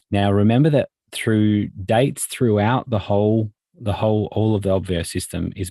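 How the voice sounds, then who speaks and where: In a very clean recording with a silent background, a man speaks at a moderate pace in an Australian accent. His tone is dark and mellow and his pitch fairly low. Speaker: software trainer. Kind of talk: tutorial. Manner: halting, many fillers.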